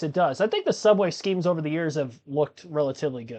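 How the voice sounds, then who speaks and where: A fairly high-pitched man talks very fast, and his pitch varies in an ordinary way. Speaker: live motorsport commentator and streamer. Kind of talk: live stream commentary. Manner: casual, conversational.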